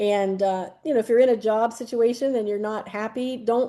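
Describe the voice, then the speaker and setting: Against a quiet background, a woman with a fairly high pitch and a dark, mellow tone speaks at a moderate pace with fairly even intonation. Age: 60s. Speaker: retired art teacher. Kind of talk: interview.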